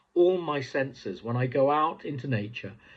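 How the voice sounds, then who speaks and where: This man has a medium pitch and an English accent. His voice is somewhat breathy with lively intonation over a quiet background. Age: 60s. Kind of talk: devotional talk. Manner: hesitant, many fillers.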